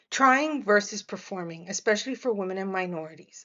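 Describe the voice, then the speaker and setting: At a moderate pace, a woman with a Miami accent speaks at a medium pitch with ordinary pitch variation. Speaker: media professional and podcast host. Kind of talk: reflective monologue. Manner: halting, many fillers and restarts.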